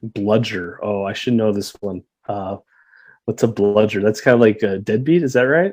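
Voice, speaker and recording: This is an ordinary speaking voice, a man's with a Canadian accent. His pitch sits fairly low and varies in an ordinary way. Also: moderate pace. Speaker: guest, childhood friend of the host living in Australia. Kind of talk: casual chat.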